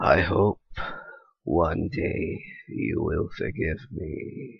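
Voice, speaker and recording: A man performs a put-on character voice. He speaks very slowly at a very deep, low pitch. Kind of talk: comic dub reading. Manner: grave, solemn.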